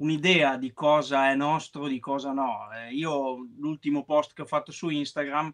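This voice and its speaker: A man with a plain, everyday voice, fairly high in pitch, at a moderate pace with fairly even intonation, over a quiet background. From Emilia-Romagna, Italy (Parma area); Emilia-Romagna, Italy. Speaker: woodworking artisan; guest. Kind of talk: interview. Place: home room. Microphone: video call.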